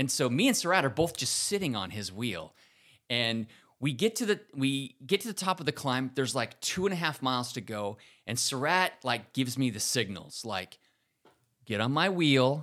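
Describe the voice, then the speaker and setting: A man with medium pitch and a bright, sharp tone speaks at a moderate pace with very wide pitch swings, recorded very cleanly against a silent background. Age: 50s. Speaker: amateur bike racer, podcast co-host. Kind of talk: casual chat.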